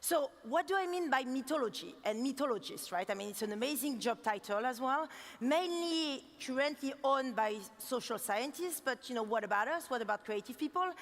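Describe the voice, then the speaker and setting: With a strong French accent, a woman talks at a fairly quick pace in a high pitch with lively intonation over noticeable background noise. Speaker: designer giving keynote. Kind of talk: keynote talk. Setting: stage with audience. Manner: fast; animated.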